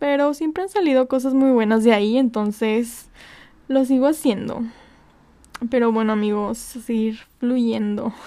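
A woman speaks at a fairly slow pace in a high pitch with ordinary pitch variation, over noticeable background noise. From northern Mexico. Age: 20s. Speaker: podcast host. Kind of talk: casual monologue.

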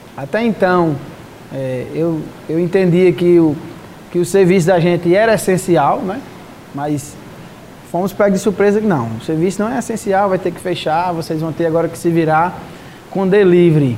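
A man with a high voice speaks at a moderate pace with ordinary pitch variation, taking long, frequent pauses over noticeable background noise. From Paraíba, Brazil (Catolé do Rocha). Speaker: restaurant owner and accordionist. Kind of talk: interview.

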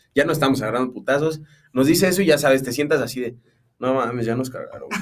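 A man speaking at a very fast pace. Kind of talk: casual chat.

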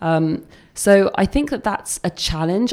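A woman speaks with an English accent. Her tone is dark and mellow. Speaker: head of projects at web agency. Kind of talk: casual interview chat.

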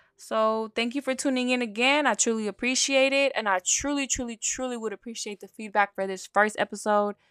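A woman's fairly high voice with an American accent, fairly quick and with hardly any pauses, fairly even in intonation, dry and close with no echo, in a very clean recording with a silent background. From US West Coast, San Francisco Bay Area. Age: 20s. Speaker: personal trainer, podcast host. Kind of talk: casual solo podcast monologue. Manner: filler-heavy, halting with restarts.

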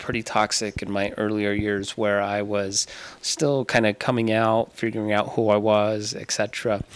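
Using a normal speaking voice, a man with an American accent talks at a fairly low pitch and a moderate pace. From Tucson, Arizona. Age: 30s.

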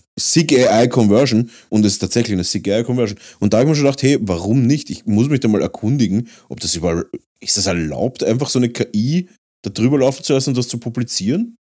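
In a very clean recording with a silent background, a man with an Austrian accent speaks at a medium pitch in a dark, mellow tone. His pace is very fast and his intonation lively. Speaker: podcast host and miniature painter. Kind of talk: casual chat.

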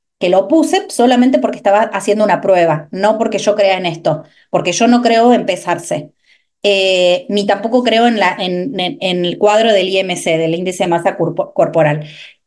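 A woman speaks in a normal speaking voice at a moderate pace. Her medium pitch shows ordinary variation. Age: 30s. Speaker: nutrition coach. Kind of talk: interview.

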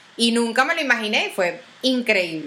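Against noticeable background noise, a woman with a high voice sounds animated, her pitch swinging very widely. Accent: Venezuelan. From Venezuela. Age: 30s. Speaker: podcast host. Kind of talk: casual monologue. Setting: video recording.

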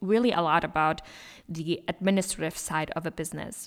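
A woman speaks at a fairly low pitch in a German accent. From Germany. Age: 20s. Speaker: business podcast host, entrepreneur. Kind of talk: motivational solo monologue. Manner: animated.

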